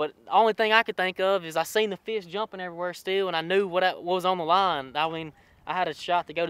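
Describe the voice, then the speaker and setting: A man with a Louisiana accent and a high pitch speaks at a very fast pace with fairly even intonation. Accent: Louisiana Southern US. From Louisiana (Pineville). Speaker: college bass angler. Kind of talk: interview. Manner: hesitant, many fillers and repeats.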